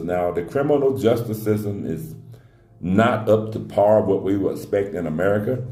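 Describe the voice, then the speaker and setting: A man with a fairly low pitch speaks at a moderate pace with ordinary pitch variation. Music plays in the background, and audible room echo is present. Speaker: relocation adviser. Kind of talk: casual Q&A talk. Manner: conversational, with frequent fillers.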